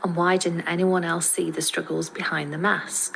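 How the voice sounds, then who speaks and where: A woman speaks at a medium pitch with fairly even intonation. Noticeable background noise runs under her voice. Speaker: podcaster. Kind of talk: scripted podcast monologue. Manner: careful, effortful pronunciation.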